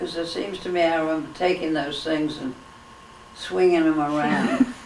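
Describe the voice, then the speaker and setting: A woman talks with a very deep, low pitch and ordinary pitch variation. Noticeable background noise and audible room echo are present. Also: moderate pace. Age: 90s. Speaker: school alumna. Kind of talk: interview. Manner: halting.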